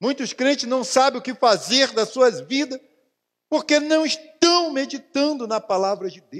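In a Brazilian accent, a man speaks fairly slowly at an extremely high pitch, with an animated tone and ordinary pitch variation. His loudness swings widely against a quiet background. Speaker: pastor. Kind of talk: sermon. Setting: church. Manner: animated, fervent, exclaiming repeated hallelujahs; colloquial, preaching with personal anecdotes and direct address to the congregation. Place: church.

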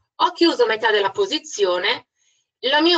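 Bright and sharp in tone, a woman speaks at a moderate pace with lively intonation. The sound is dry and close with no echo. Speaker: trading instructor. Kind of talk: webinar presentation. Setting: online webinar.

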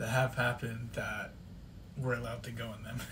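Over light background noise, a man speaks at a moderate pace in a somewhat breathy, monotone voice with flat intonation. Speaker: channel co-host. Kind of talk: casual vlog chat. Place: home room. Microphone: phone near.

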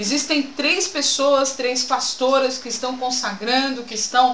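Over light background noise and audible room echo, a woman speaks at a moderate pace in a high pitch with ordinary pitch variation. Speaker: pastor promoting church event. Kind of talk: announcement with preaching tone. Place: home room. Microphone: webcam.

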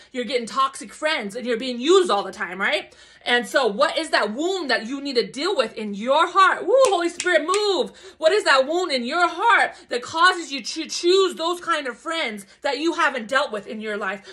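Against a quiet background, a woman uses a raised, projected voice with a bright, sharp tone, very wide pitch swings and a moderate pace. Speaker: spiritual vlogger. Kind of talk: casual vlog chat, preaching. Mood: fervent, emotional, spiritual. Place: home room. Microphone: phone near.

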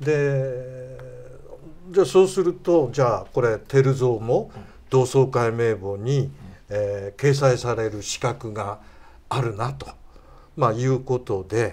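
A man speaks at a very slow pace. His pauses are long and frequent. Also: ordinary pitch variation. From Tochigi, Japan. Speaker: history researcher. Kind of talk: interview. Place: studio. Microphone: lapel.

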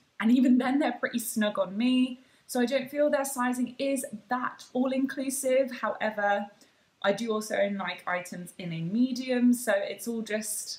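There is audible room echo around this woman's high-pitched voice. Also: ordinary pitch variation, moderate pace. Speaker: fitness vlogger. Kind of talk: casual haul vlog chat. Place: home room. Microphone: phone near.

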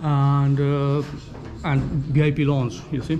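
A man is speaking. Light background noise sits behind him. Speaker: travel vlogger. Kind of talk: casual vlog chat. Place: bar. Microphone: phone near.

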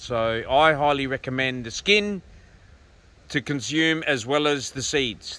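At a moderate pace, a man speaks with a bright, sharp tone and ordinary pitch variation, the sound dry with no echo. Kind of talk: casual vlog chat. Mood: relaxed, opinionated. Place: open country. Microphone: phone near.

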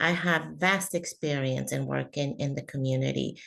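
A woman talks with a Spanish accent. Her pace is moderate. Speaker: school board candidate. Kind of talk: candidate forum answer. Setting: video call. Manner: halting.

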